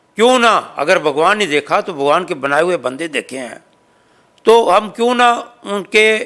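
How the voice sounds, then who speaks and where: A man's raised, projected voice, high in pitch, with a bright, sharp tone and lively intonation. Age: 70s. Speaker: social organization president. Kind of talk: interview.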